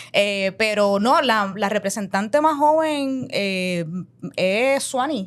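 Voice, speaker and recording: At a very slow pace, a woman with a Puerto Rican accent speaks at a fairly high pitch with lively intonation. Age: 30s. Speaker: politician. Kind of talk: interview. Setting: capitol building.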